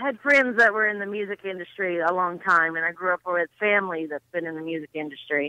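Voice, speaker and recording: In an American accent, a woman speaks with a bright, sharp tone. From US South. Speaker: country music fan. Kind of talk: casual chat.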